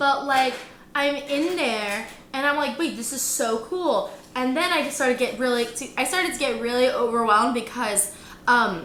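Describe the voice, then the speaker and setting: A loud, high-pitched woman with a Michigan accent and an animated tone, at a moderate pace, amid audible room echo and noticeable background noise. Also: ordinary pitch variation. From Michigan, Detroit area. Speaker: travel vlogger. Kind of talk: casual chat.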